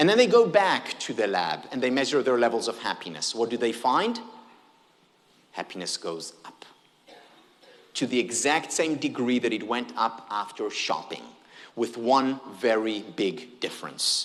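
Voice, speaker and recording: Fairly slow in pace, a man speaks with an Israeli accent and vocal fry. His tone is animated, with lively intonation. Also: medium pitch for a man. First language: Hebrew. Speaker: happiness researcher, keynote speaker. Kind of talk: keynote talk. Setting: stage with audience.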